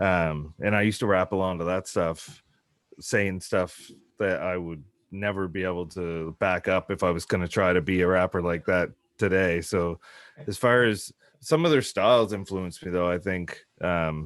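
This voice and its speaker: Over a quiet background, a man with a South Shore Massachusetts accent speaks at a moderate pace in a very deep, low pitch with fairly even intonation. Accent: South Shore twang. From Nova Scotia South Shore, Canada. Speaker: hip hop artist. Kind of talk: casual interview.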